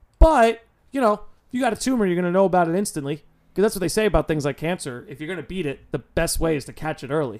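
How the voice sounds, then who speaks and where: A very fast, high-pitched man with lively intonation and big swings in loudness. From New York. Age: 20s. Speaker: podcast host. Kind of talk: casual chat.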